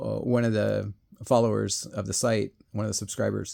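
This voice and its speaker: On a very clean recording with silence behind it, the talking proceeds at a moderate pace. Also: man. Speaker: RC hobby video creator. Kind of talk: casual monologue. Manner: halting, many fillers.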